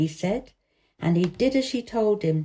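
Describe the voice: Plain reading aloud with lively intonation against a quiet background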